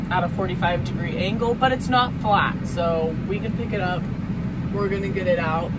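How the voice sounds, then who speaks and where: A woman talks at a moderate pace with ordinary pitch variation. Loud noise fills the background. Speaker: farmer vlogger. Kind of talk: casual vlog chat. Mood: cheerful, chatty. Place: farm machine. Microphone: phone near.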